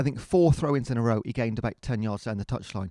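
A man with a dark, mellow tone speaks at a very fast pace, the sound dry and close with no echo over a quiet background. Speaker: football fan podcast co-host. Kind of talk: casual chat. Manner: animated.

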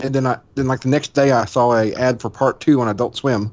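This man has a normal speaking voice at medium pitch. His pitch varies in an ordinary way. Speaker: podcast co-host, manga commentator. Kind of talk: casual chat.

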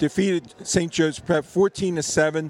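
A man with an unremarkable speaking voice, a fairly high pitch and ordinary pitch variation. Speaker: football historian guest. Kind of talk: radio interview during broadcast.

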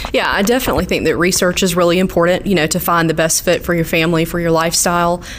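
The speech races along at a very fast pace in a Southern US accent, its loudness very even. Intonation stays monotone and flat over noticeable background noise. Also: woman, fairly low pitch for a woman. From southeast Georgia. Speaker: utility market specialist. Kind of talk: interview.

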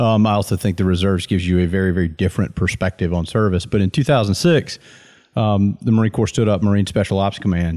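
A man speaks at a very fast pace. His voice is very deep and low, with a dark, mellow tone. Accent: Southern US. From US Deep South. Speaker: Marine officer. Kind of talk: casual chat.

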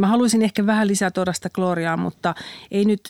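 A woman's fairly quick delivery with vocal fry, dry and close with no echo, on a very clean recording with a silent background. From Finland, Central Ostrobothnia. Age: 50s. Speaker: magazine editor-in-chief. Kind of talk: casual interview.

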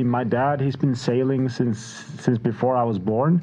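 A man with a Faroese accent speaks at a medium pitch, his intonation fairly even. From Faroe Islands, small village. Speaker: music producer. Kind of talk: casual chat.

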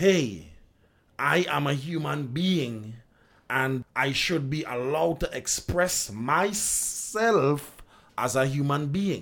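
Lively intonation at a very slow pace, on a very clean recording with a silent background. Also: man. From Trinidad. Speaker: steelpan musician and music educator. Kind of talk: interview. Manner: measured, reflective.

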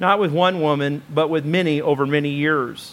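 Speaking at a moderate pace, a man uses a fairly high pitch and an animated tone. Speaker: preacher. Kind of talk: sermon. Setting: church. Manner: animated, conversational preaching with audience interaction; colloquial, hesitant with fillers.

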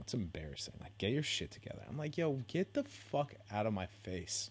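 Somewhat breathy, this man speaks at a fairly quick pace with ordinary pitch variation. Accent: American. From San Francisco Bay Area. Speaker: podcast host. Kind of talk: casual solo monologue. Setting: home bedroom.

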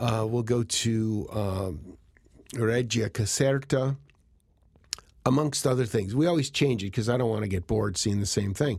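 At a moderate pace, a man speaks at a medium pitch in a somewhat breathy voice. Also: ordinary pitch variation. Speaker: photographer. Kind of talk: interview. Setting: studio.

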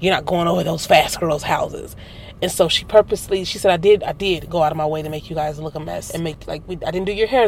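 A woman talking at a very fast clip over noticeable background noise. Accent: American. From Milwaukee, US Midwest. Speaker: artist. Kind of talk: casual chat. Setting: in a car.

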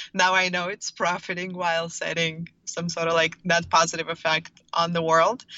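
A woman speaks at a fairly quick pace in a flat, monotone intonation. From Russia, St. Petersburg. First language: Russian. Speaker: startup founder. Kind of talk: interview.

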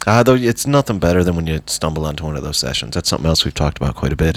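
In an Irish accent, a man speaks with a very deep, low pitch. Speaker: podcast host. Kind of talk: casual interview.

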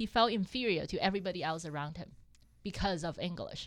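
A woman speaks at a fairly quick pace in a Cantonese accent. The recording is very clean, with a silent background. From Hong Kong. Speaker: accountant and real estate investor. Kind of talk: casual interview chat.

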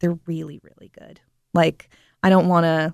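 A dark, mellow tone with an American accent, at a moderate pace. The sound is dry and close, with no echo. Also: woman. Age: 20s. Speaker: chef. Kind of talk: casual interview chat. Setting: studio.

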